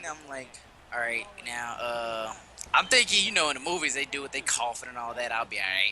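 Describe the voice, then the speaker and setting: Noticeable background noise sits behind a man speaking in an animated tone at a moderate pace. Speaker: podcast co-host, gamer. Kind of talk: casual chat, storytelling. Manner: animated, casual.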